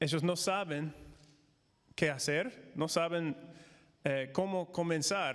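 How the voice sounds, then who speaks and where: At a very slow pace, a man with an American accent talks in a high pitch with ordinary pitch variation. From United States. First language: English (speaking Spanish). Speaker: missionary and former pastor. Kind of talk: conference talk. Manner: halting, many fillers.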